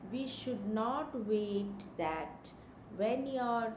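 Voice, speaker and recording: There is noticeable background noise behind a woman's voice. Room echo is audible too. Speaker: education consultant. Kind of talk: live stream talk. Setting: live stream. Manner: slow.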